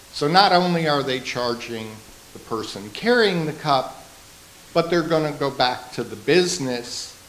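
Audible room echo over light background noise. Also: man. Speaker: local business owner. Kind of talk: public presentation. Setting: town council meeting. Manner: loud. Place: meeting room. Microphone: handheld.

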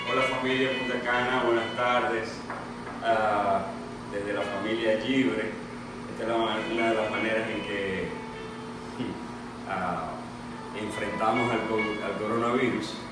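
Over music in the background and audible room echo, a man speaks at a very slow pace with long, frequent pauses. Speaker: home cook hosting. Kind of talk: casual cooking demonstration. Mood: cheerful, relaxed. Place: kitchen. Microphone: camera far.

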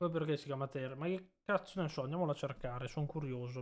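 At a very fast pace, a man talks with fairly even intonation and a fairly high pitch. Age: 20s. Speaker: streamer. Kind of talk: casual live stream chat.

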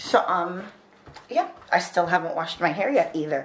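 Lively intonation at a moderate pace, with audible room echo. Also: woman, fairly low pitch for a woman.

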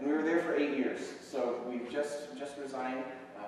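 Strong room echo surrounds a man talking at a moderate pace. Light background noise is also present. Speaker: visiting missionary preacher. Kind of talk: sermon. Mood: warm, enthusiastic. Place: church.

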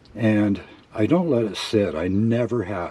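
A man's relaxed, fairly low voice amid noticeable background noise. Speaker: car hobbyist. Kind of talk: casual DIY tutorial talk. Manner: relaxed, hesitant with fillers.

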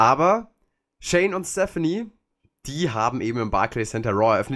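A very clean recording with a silent background. Within it, the speaker's pitch swings very widely. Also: man. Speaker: wrestling podcast host. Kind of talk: casual review chat.

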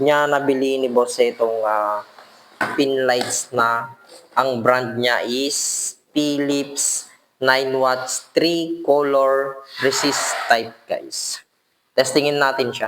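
At a very slow pace, a man talks in a flat monotone at a medium pitch. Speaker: electrician and video blogger. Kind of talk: product review tutorial. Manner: halting, many fillers.

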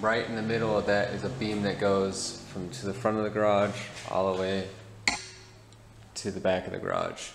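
Noticeable background noise surrounds speech delivered at a moderate rate. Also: man. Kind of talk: tutorial. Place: garage. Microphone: phone near.

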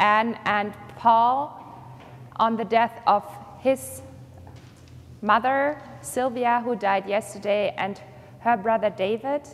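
At a fairly slow pace, a woman talks with fairly even intonation. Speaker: pastor. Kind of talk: church announcements. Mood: calm, somber then warm. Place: church. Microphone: lapel.

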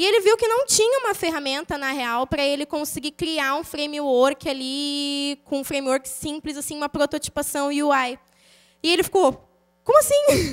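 Over a quiet background, a woman with a high pitch speaks at a moderate pace with ordinary pitch variation. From São Paulo state, Brazil. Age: 20s. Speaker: programmer, conference speaker; conference speaker. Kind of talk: conference talk with live code walkthrough. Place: hall. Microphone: handheld.

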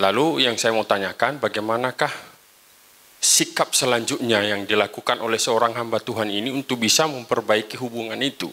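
His tone is bright and sharp. The man talks at a fairly quick pace with fairly even intonation. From East Lampung, Indonesia; Indonesia. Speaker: pastor, audience member. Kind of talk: audience question. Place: hall.

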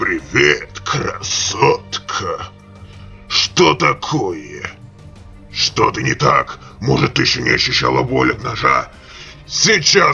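The speech moves at a fairly slow pace with clear music in the background. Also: man. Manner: mocking, menacing.

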